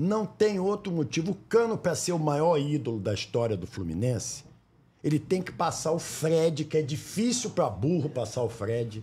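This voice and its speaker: The voice has a dark, mellow tone, somewhat breathy, with very wide pitch swings at a moderate pace, in a very clean recording with a silent background. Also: man, fairly high pitch for a man. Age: 60s. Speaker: sports broadcaster and podcast host. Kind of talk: casual interview. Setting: studio.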